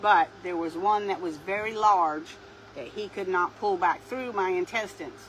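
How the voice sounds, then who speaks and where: Over noticeable background noise, a woman with a Southern US accent talks at a moderate pace. Her pitch is medium, with ordinary variation. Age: 60s. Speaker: craft video creator. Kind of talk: casual chat.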